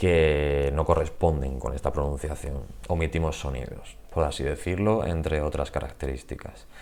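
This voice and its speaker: Vocal fry at a fairly slow pace, with ordinary pitch variation. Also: man. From Spain, Murcia. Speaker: Spanish teacher. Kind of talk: channel introduction, casual monologue. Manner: hesitant, with fillers.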